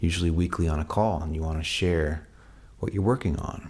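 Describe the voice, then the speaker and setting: A man with a very deep, low voice that comes across somewhat breathy. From Canada. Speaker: songwriter. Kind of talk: casual talk to camera. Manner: casual, with fillers and restarts.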